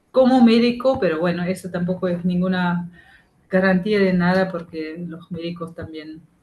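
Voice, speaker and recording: Somewhat breathy and fairly low, a woman's voice proceeds at a fairly slow pace with ordinary pitch variation and big swings in loudness. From Germany. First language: German (speaking Spanish). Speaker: activist, member of collective. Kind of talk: talk to a class. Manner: halting.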